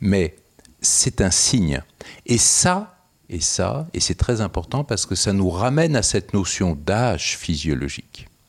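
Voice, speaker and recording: A man's very deep, low pitch with very wide pitch swings. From France. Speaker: geriatric doctor and researcher. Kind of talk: interview, explanatory.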